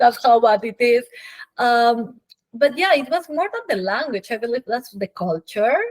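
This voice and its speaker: With a Peruvian accent, a woman uses lively intonation and a high pitch at a moderate pace, her voice dry and close with no echo. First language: Spanish. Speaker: physician. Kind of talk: interview.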